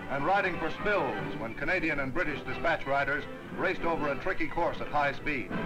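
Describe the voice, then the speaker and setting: Clear music plays in the background as the speaker talks at a moderate pace. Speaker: newsreel narrator. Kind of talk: newsreel narration. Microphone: old recording.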